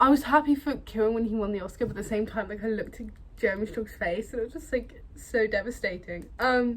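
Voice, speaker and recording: Speaking very fast with a British accent, a woman's fairly high, somewhat breathy voice shows ordinary pitch variation. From Britain. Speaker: film vlogger. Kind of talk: casual vlog chat. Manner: casual, hesitant with fillers.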